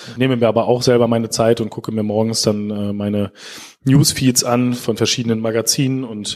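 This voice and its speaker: A man with a plain, everyday voice, medium in pitch, at a fairly quick pace with fairly even intonation. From Lower Saxony, Germany (Schaumburg district). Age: young. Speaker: digital agency director. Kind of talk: interview.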